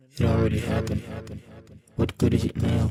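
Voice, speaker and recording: In a cartoonish character voice, a man speaks at a fairly quick pace. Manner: calm, detached, oracular.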